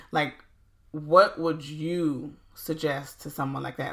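Speaking with an American accent, a woman uses a very deep, low pitch. Her pace is very slow and her intonation monotone and flat. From US South, South Carolina Low Country. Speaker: podcast host. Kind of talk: casual interview.

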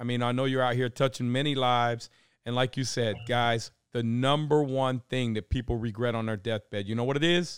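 This man's voice sits at medium pitch. He talks at a moderate pace. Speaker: podcast host and real estate investor. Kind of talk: casual chat. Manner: loud; animated.

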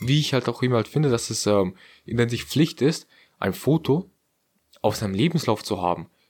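In a very clean recording with a silent background, a man of medium pitch talks at a moderate pace with lively intonation and long, frequent pauses. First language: non-German heritage language (speaking German). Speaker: podcast co-host. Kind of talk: casual chat.

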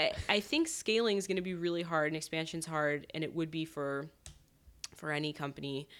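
A woman with an American accent speaks at a fairly quick pace in a very deep, low voice with fairly even intonation, on a very clean recording with a silent background. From US Northeast, southern Connecticut. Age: 30s. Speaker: beauty company founder. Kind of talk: casual interview. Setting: home kitchen.

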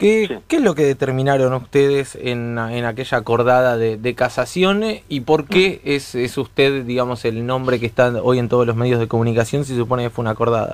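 A man with an unremarkable speaking voice talks at a fairly quick pace with hardly any pauses. His pitch sits in the medium range and varies in an ordinary way. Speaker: radio host. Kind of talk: radio interview.

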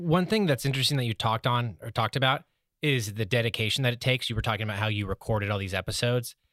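With a very clean recording, a silent background and a dry, close sound with no echo, a man in an American accent speaks at a very fast pace at medium pitch with ordinary pitch variation. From San Diego, US. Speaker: podcast producer. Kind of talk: casual chat.

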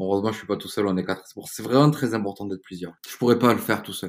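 A very clean recording with a silent background, carrying a man's fairly low voice. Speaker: entrepreneur. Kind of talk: interview. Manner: hesitant with repetitions.

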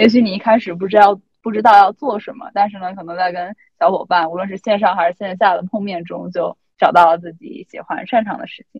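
Medium in pitch with ordinary variation, a woman speaks somewhat breathily. Her pace is very fast. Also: big swings in loudness. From China. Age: 20s. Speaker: student intern journalist. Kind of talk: casual chat.

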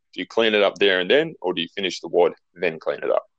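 A man with an Australian accent talks at a very fast pace, recorded with a dry, close sound and no echo. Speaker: podcast host. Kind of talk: interview.

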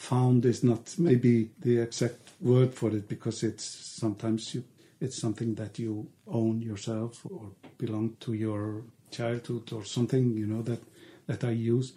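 In an Icelandic accent, the voice is somewhat breathy and dark, mellow in tone, moving at a fairly slow pace with fairly even intonation. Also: man, medium pitch for a man. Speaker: artist. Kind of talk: interview. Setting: artist's studio. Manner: halting.

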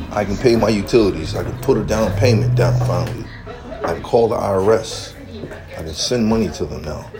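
A man speaks at a moderate pace and fairly low pitch in an animated tone, with very wide pitch swings and big swings in loudness. Noticeable background noise and audible room echo fill the recording. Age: 40s. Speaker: livestreamer. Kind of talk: rant.

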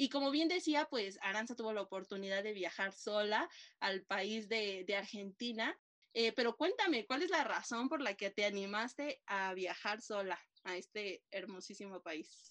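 A woman's normal speaking voice, fairly high in pitch, with lively intonation at a fairly slow pace. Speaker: podcast host. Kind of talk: casual interview chat.

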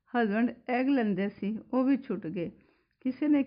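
A woman speaks with a Punjabi accent and ordinary pitch variation. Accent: Punjabi-accented Hindi. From Punjab, India (Pathankot). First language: Punjabi (speaking Hindi). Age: 60s. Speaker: spiritual devotee, housewife. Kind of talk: personal testimony.

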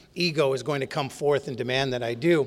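This man speaks with an Upper Midwest accent at a very fast pace. His pitch is fairly high and his intonation fairly even. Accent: Upper Midwest American. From North Dakota. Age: 50s. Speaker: AA conference speaker. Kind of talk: recovery testimony talk. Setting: stage with audience at a podium.

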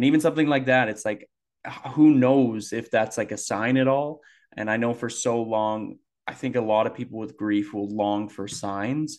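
With a quiet background, a man talks at a moderate pace and medium pitch, using ordinary pitch variation in an unremarkable speaking voice. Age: 20s. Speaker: podcast co-host. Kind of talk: casual chat.

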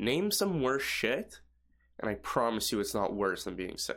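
A man speaks at a moderate pace in an animated tone with very wide pitch swings. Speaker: podcast host. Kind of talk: casual chat.

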